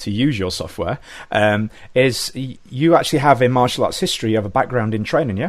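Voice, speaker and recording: A man with an English accent and a medium pitch speaks at a very fast pace with lively intonation. The recording is very clean, with a silent background. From England. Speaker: podcast host. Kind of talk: casual interview chat.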